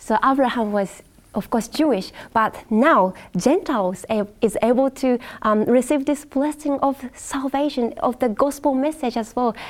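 A high-pitched woman's voice at a fairly slow pace, with ordinary pitch variation. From Japan. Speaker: Bible study panelist. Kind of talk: Bible study panel discussion. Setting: studio. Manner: hesitant, many fillers.

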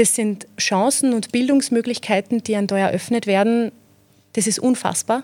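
Fairly even intonation and a moderate pace in a woman's fairly high-pitched voice. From Austria, Mostviertel (Zeillern, Amstetten district). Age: 20s. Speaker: PR manager. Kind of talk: interview.

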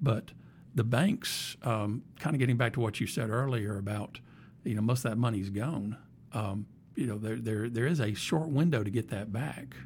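With an American accent, a man speaks at a moderate pace and medium pitch, somewhat breathy, with ordinary pitch variation. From Alabama, US South. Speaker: podcast host, IT executive. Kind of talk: casual interview chat. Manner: halting, many fillers and repeats.

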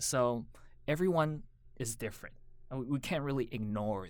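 A man with an American accent speaks at a moderate pace in a plain, everyday voice of medium pitch. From Taiwan, raised in the US from age 9. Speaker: educator and lecturer. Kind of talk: podcast interview.

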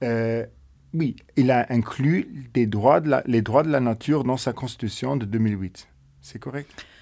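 A man with a Luxembourgish accent and a dark, mellow tone, at a very slow pace with ordinary pitch variation. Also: medium pitch for a man, quiet background. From Luxembourg, mining basin in the south. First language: Luxembourgish (speaking French). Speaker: podcast host. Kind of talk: interview conversation.

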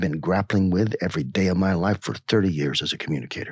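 A man speaks at a fairly quick pace with vocal fry, recorded very cleanly against a silent background. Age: 50s. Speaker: marketing researcher and teacher. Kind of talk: podcast discussion. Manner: earnest, reflective.

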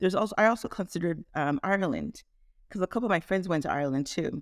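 In a dry, close sound with no echo, a woman with a plain, everyday voice talks at a fairly quick pace, using a medium pitch and lively intonation. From Canada, Toronto. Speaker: family medicine physician. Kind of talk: interview.

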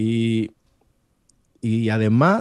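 The very clean recording, with a silent background, captures a man at a medium pitch in a dry, close sound with no echo. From Peru. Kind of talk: interview. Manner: halting.

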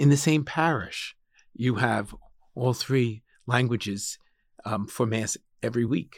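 With an American accent, a man has an ordinary speaking voice at medium pitch with ordinary pitch variation, recorded very cleanly against a silent background. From Long Island, New York (Suffolk County). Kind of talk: interview conversation. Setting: studio.

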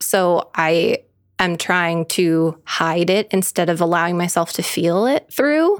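A woman speaks in a normal speaking voice with a fairly low pitch. Her intonation is lively and her pace fairly slow. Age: 30s. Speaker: podcast co-host. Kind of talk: casual chat. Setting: living room.

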